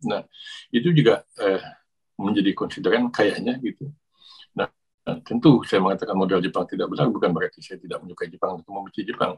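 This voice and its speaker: Very fast and dry, with a close sound and no echo, a man's speech shows big swings in loudness. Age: 60s. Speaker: academic and YouTuber talking about Japan. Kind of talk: casual monologue. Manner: halting, many fillers.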